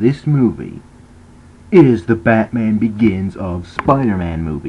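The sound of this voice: Speaking slowly, a man uses a fairly low pitch and lively intonation.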